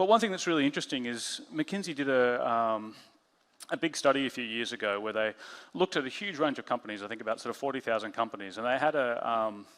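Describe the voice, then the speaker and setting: At a very fast pace, a man of medium pitch speaks with lively intonation. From Australia. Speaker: head of design, conference speaker. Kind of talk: conference talk. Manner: halting, many fillers.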